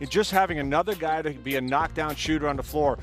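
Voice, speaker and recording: Music plays behind a man talking very fast. His pitch is fairly high, and he has an American accent. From Syracuse, New York. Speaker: basketball broadcaster/analyst. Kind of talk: casual chat, sports analysis.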